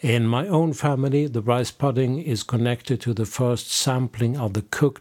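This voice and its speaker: At a moderate pace, a man with a Swedish accent speaks in a medium-pitched voice with a dark, mellow tone and ordinary pitch variation. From Sweden. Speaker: podcast host and folk music label co-owner. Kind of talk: scripted narration.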